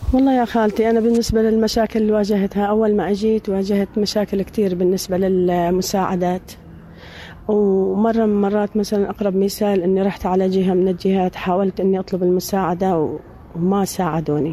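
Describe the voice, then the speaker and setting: This woman has a plain, everyday voice at a medium pitch, with fairly even intonation. Her loudness stays very even throughout. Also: moderate pace. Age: 50s. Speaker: returnee from a detention camp. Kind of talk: testimony.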